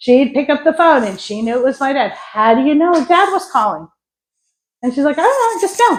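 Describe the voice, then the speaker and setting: A woman with a New York accent, high-pitched and animated, her speech fairly quick yet broken by long, frequent pauses, with very wide pitch swings, on a very clean recording with a silent background. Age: 60s. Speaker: psychic medium and energy healer. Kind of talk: spiritual talk to an audience.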